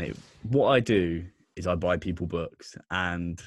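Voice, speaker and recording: Speaking with a southern English accent, a man has a very deep, low pitch and ordinary pitch variation. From southern England, Bournemouth, Dorset. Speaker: podcast host, guest. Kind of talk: casual chat.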